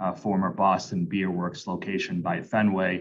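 The background is quiet as a man talks. He keeps a moderate pace and fairly even intonation. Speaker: attorney; attorney for a license applicant. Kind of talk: formal legal presentation. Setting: video call. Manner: hesitant with fillers. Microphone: video call.

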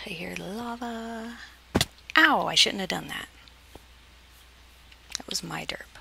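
Over noticeable background noise, a woman speaks at a very slow pace with long, frequent pauses and big swings in loudness, in a dry sound with no echo. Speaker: gaming video creator. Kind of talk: casual gameplay commentary. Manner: whispered when tense. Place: home room.

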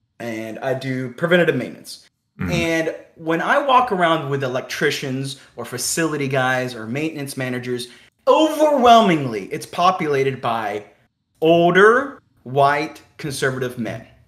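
Amid audible room echo, a man with an American accent and a fairly high pitch speaks with ordinary pitch variation and big swings in loudness. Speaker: electrician. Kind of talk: debate. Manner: grating tone at times.

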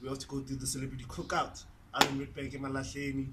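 Over loud background noise, a man talks at a fairly quick pace in a monotone, flat intonation. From South Africa. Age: 20s. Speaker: DJ and producer. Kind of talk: casual vlog talk to camera.

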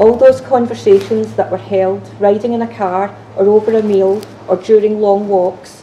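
A woman's voice with fairly even intonation over light background noise. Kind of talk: ceremony address. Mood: warm, solemn. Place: hall.

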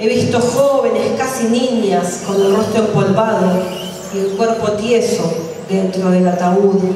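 A woman at a very slow pace with fairly even intonation, strong room echo, and light background noise. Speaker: open mic poet. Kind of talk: poetry reading. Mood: grave, solemn. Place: cafe.

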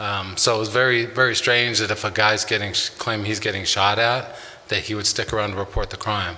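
A man talks at a fairly quick pace. His fairly low voice stays flat and monotone. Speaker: sheriff's lieutenant giving a report. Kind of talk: report presentation. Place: hall. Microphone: podium.

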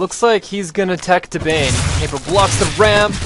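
Noticeable noise sits behind a man whose voice is high-pitched and whose pitch varies in an ordinary way. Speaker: gaming commentator. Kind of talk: live esports commentary delivered entirely in rhyming limericks. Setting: screen-recorded video commentary over a game replay. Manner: animated, quick rhythmic delivery with playful, excited reactions; jokey, laughing at his own rhymes.

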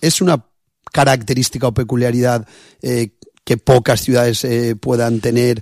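A man with a normal speaking voice and medium pitch talks at a moderate pace with fairly even intonation. The sound is dry with no echo against a quiet background. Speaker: radio host. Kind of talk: casual interview. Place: studio.

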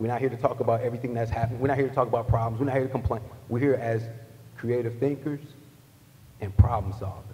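A man rushes along at a very fast pace in a monotone, flat intonation, with long, frequent pauses between phrases. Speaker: panel moderator. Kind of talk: panel discussion. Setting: stage with audience. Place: hall. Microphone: podium.

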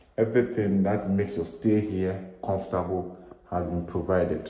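A man talks at a very deep, low pitch, his voice somewhat breathy. Room echo is audible around him. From Ghana. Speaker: real estate agent. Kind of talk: property tour video. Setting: walking tour of a house. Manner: casual, rambling narration. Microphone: phone near.

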